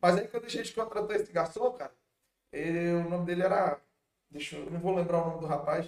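At a fairly quick pace, a man speaks in a high voice with fairly even intonation. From Manaus, Amazonas, Brazil. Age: 40s. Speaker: restaurant owner. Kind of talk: casual chat.

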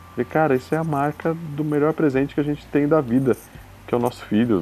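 Male voice of medium pitch at a fairly quick pace, ordinary pitch variation, music in the background. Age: 30s. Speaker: expectant father. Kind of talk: casual chat.

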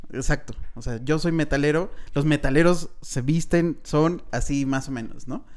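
Someone with a Mexican accent speaks at a fairly slow pace with fairly even intonation. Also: man. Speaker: film podcast host. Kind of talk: casual chat.

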